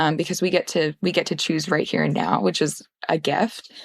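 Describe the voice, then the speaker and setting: Vocal fry marks this speaker with an American accent at a moderate pace, in a dry, close sound with no echo. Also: woman. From Portland, Oregon. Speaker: therapist. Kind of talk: podcast interview answer. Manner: hesitant, gentle.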